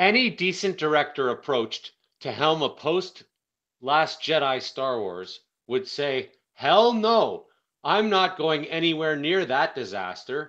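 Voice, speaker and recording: Against a quiet background, a man speaks loudly and fairly slowly, his fairly high pitch making very wide swings in a bright, sharp tone. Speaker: online video commentator. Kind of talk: casual monologue. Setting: phone recording. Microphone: phone mic, no proper microphone.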